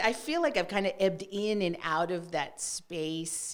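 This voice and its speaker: This speaker is a woman with a Spanish accent. She talks at a fairly slow pace. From West Texas. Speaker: executive coach. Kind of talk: podcast interview.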